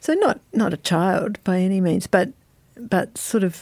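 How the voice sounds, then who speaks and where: In an Australian accent, a dark, mellow tone moves at a very slow pace. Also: woman. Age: 50s. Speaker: novelist. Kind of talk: interview.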